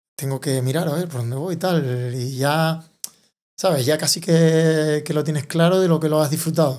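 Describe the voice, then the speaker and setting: A very clean recording with a silent background, featuring a man at a moderate pace. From Tenerife, Canary Islands, Spain. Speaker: enduro and downhill mountain bike racer. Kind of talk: interview answer. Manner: cheerful, with contagious laughter.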